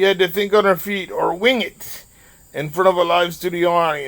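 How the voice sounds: The voice reads naturally. Its intonation is fairly even.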